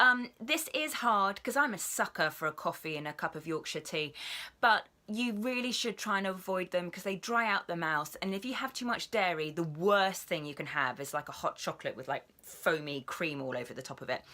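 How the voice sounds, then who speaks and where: A woman with a British accent speaks in a bright, sharp, upbeat tone. Her pitch swings very widely. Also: medium pitch for a woman, fairly quick pace, very clean recording, silent background. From England. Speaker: voice actor. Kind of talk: casual vlog talk to camera. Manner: chatty, upbeat.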